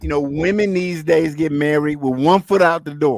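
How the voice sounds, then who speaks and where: Here is an ordinary speaking voice from a man, fairly high in pitch, with fairly even intonation. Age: 50s. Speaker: travel livestream host. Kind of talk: casual chat.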